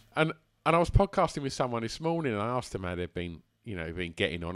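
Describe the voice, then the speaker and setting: Man with an Essex accent, medium pitch and very wide pitch swings, dry and close with no echo, in a very clean recording over a silent background. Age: 40s. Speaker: musician and club runner. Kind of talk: casual chat. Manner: halting.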